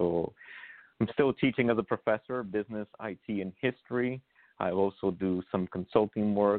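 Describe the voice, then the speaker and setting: This man has a plain, everyday voice with fairly low pitch. He keeps a moderate pace and fairly even intonation. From Brooklyn, New York; born in Honduras. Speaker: congressional candidate. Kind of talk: interview. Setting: phone call.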